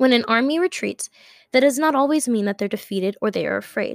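In an American accent, this voice shows ordinary pitch variation, heard in a very clean recording with a silent background and a dry, close sound with no echo. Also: woman. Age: young, about 19. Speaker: podcast host, college student. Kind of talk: casual religious monologue. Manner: halting, many fillers and repeats.

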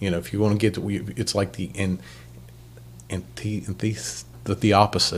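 This man has an American accent, a fairly low pitch and some vocal fry. He leaves long, frequent pauses. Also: ordinary pitch variation, moderate pace. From Ohio. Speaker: podcast host. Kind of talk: casual interview. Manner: halting.

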